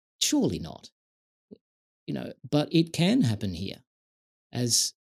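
A man with an Australian accent at a moderate pace, in a dry, close sound with no echo. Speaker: tech industry veteran and digital rights advocate. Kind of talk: casual interview conversation.

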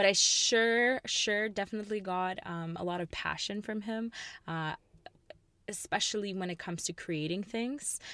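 On a very clean recording with a silent background, a woman with a medium pitch and a bright, sharp tone speaks in an animated way at a moderate pace, with ordinary pitch variation. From Ukraine, Kyiv. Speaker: industrial designer, podcast co-host. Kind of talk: casual chat. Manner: animated, laughs often.

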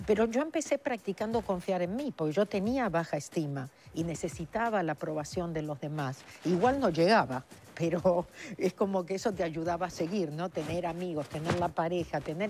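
With lively intonation and a fairly low pitch, a woman talks at a moderate pace over noticeable background noise. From Argentina. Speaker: author and spiritual speaker. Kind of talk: TV interview.

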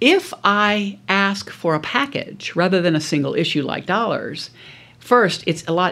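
In a very clean recording with a silent background, a woman with an American accent talks fairly slowly at a fairly low pitch with vocal fry. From US South, South Louisiana. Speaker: business school professor, negotiation expert. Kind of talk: interview, expert conversation.

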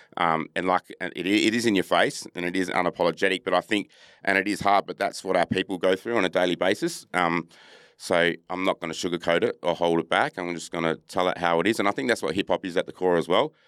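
In a very clean recording with a silent background, a man with an Australian accent talks at a very fast pace. His pitch is very deep and low, and his intonation is fairly even. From Australia, Adelaide then Perth. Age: 40s. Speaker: footballer and musician. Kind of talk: casual interview.

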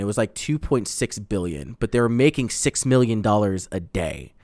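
Over a silent background in a very clean recording, a man with an American accent speaks at a moderate pace and medium pitch, with lively intonation and hardly any pauses. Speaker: podcast host. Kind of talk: casual banter.

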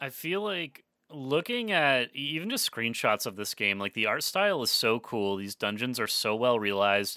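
At a moderate pace with hardly any pauses, a man with a medium pitch speaks in a bright, sharp tone with very wide pitch swings, the sound dry and close with no echo on a very clean recording with a silent background. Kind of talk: casual chat.

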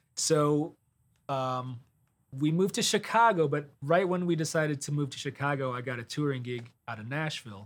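Lively intonation runs through an ordinary speaking voice that keeps a moderate pace. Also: man, fairly high pitch for a man. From US Midwest, Detroit, Michigan. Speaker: touring guitarist. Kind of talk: casual interview chat.

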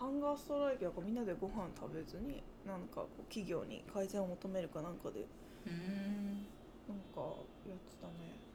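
Audible room echo surrounds a woman speaking at a moderate pace in a medium pitch with lively intonation. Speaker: podcast co-host. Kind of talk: casual chat.

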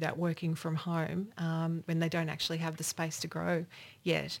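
A woman speaks with an Australian accent at a moderate pace and a fairly low pitch. The recording is very clean, with a silent background. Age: 50s. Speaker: regional business development official. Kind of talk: panel discussion.

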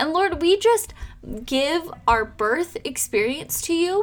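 A woman is speaking. Her pace is very slow. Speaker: home birth coach and nurse. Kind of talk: fervent prayer to God, spoken aloud to close the episode; podcast monologue, off-the-cuff message. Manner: earnest, heartfelt, fervent.

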